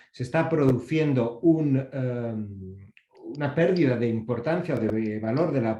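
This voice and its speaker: Dark and mellow in tone, a man's somewhat breathy voice sits at a medium pitch. His intonation is lively. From Basque Country, Spain. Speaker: copyright organization representative, panelist. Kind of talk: panel presentation.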